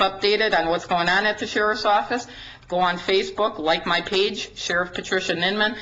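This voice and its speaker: A woman's medium-pitched voice in a Wisconsin accent, with fairly even intonation and audible room echo. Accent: Upper Midwest (Wisconsin). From Wisconsin, Dodge County. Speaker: county sheriff. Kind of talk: presentation to a city council. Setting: council meeting at a podium. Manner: fast.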